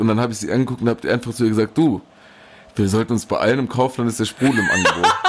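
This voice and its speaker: Keeping a mid-range pitch, a man speaks with the usual amount of pitch movement. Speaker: podcast co-host. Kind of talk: casual chat. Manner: loud; animated.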